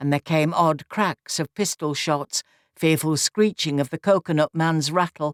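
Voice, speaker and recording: The recording is very clean with a silent background. A woman with a Nottinghamshire accent speaks at a fairly slow pace in a fairly low pitch with ordinary pitch variation. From Nottinghamshire, England. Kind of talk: audiobook reading of a classic novel.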